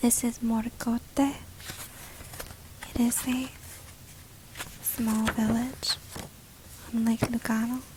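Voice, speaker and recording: Soft-spoken, very slow delivery with long, frequent pauses over noticeable background noise. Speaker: ASMR travel agent roleplay host. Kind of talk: travel agent roleplay in English. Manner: soft-spoken, relaxing.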